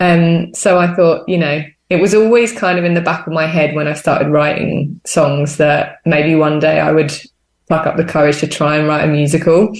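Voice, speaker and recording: A woman with a very deep, low voice speaks at a moderate pace with fairly even intonation and very even loudness. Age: 20s. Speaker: theatre maker. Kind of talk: interview.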